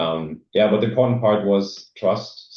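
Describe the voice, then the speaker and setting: A man with a German accent, fairly low in pitch, at a fairly slow pace. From East Germany. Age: 40s. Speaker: former exchange student speaking at a club. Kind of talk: presentation. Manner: hesitant, many fillers.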